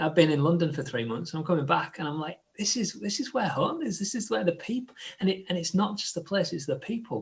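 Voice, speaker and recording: A man talks at a fairly quick pace. His voice sits high. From northern England, Hull. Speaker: church leader hosting discussion. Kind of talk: live group discussion. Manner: halting, many fillers and restarts.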